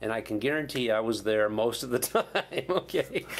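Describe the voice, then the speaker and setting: This is a normal speaking voice, a man's at medium pitch. He talks at a moderate pace with ordinary pitch variation. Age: 60s. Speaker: Vietnam veteran pilot. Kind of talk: interview. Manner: casual, conversational.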